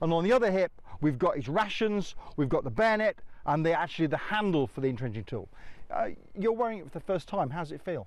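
A man speaks with a confident tone and lively intonation, his voice dry with no echo over a quiet background. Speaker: military historian. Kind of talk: guided tour explanation. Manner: informative, fluent, confident; explanatory, instructive. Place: open country. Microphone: lapel.

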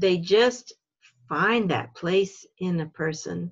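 A woman's fairly low-pitched voice against a quiet background. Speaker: religious education facilitator. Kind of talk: video call workshop facilitation. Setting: video call. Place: home room. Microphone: video call.

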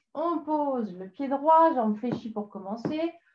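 Very slowly, a woman speaks in a high-pitched voice with audible room echo. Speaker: exercise instructor. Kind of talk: tutorial. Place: home room.

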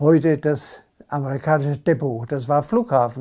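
Against a quiet background, a man with a fairly high pitch and a dark, mellow tone speaks fairly slowly with ordinary pitch variation. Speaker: contemporary witness. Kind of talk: interview answer. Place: home room.

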